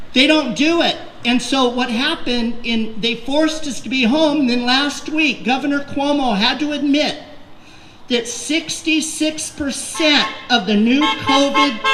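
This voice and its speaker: A woman with a high pitch speaks at a fairly slow pace, with audible room echo and noticeable background noise. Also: ordinary pitch variation. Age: 60s. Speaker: political candidate. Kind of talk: rally speech. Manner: animated.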